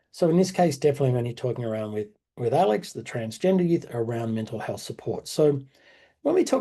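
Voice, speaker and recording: Talking at a very fast pace with lively intonation, a man with an Australian accent has a medium pitch and a dark, mellow, somewhat breathy tone over a quiet background. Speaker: workshop facilitator. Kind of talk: online workshop presentation. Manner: fast when worried about time.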